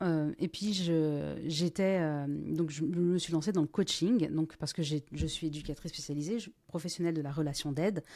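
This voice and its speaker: Very deep and low, a woman's voice carries a dark, mellow tone. The recording is very clean, with a silent background. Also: fairly even intonation, moderate pace, hardly any pauses. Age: 40s. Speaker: business owner and former business coach. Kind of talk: podcast interview. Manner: hesitant, many fillers.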